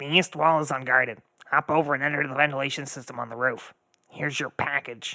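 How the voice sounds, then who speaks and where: A man's put-on character voice, fairly high-pitched and very fast. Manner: curt.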